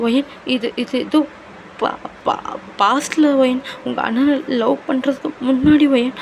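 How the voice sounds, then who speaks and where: A female-sounding, put-on character voice speaks at a high pitch and a moderate pace, sounding shaky. Light background noise is present. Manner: nervous, stammering.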